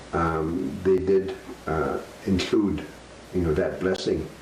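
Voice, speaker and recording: The speech moves at a very slow pace with ordinary pitch variation, against noticeable background noise and audible room echo. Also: man. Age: 70s. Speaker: elder sharing life story. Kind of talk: storytelling. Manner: halting, many fillers.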